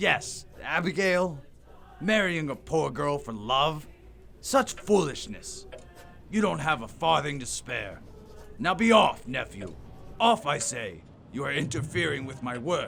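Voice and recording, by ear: A man's put-on character voice with a bright, sharp tone and vocal fry, faint music in the background. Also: fairly high pitch for a man, lively intonation, fairly slow pace.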